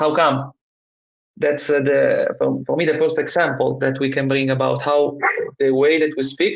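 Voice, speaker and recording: Speaking at a moderate pace with very even loudness, a man talks in an Italian accent. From Italy. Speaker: trainer. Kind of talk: casual chat. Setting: live stream. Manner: halting.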